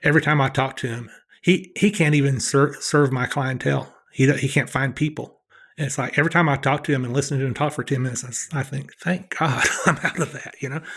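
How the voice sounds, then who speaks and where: A man with a Southern US accent speaks at a very fast pace. His fairly high voice keeps fairly even intonation. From US Southeast. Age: 60s. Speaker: professional blackjack player. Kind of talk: podcast interview.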